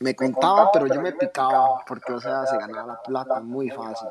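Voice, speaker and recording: A plain, everyday voice from a man, fairly slow in pace, medium in pitch, with ordinary pitch variation. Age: 20s. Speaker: sneaker store owner. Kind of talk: casual interview.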